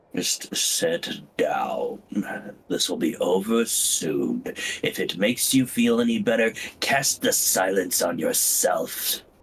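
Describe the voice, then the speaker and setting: Using a gruff, put-on character voice, a man speaks at a very slow pace. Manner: curt, commanding.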